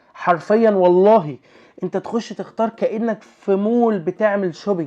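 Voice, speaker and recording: Speaking with an Egyptian accent, a man uses a high pitch and an animated tone at a moderate pace. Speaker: YouTuber. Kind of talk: casual vlog review.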